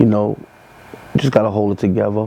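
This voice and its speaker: With a New York accent, a man with a fairly low pitch speaks at a fairly quick pace in a monotone, flat intonation. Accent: New York (Bronx). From New York, the Bronx. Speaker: rapper. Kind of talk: interview monologue. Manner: casual, halting with fillers.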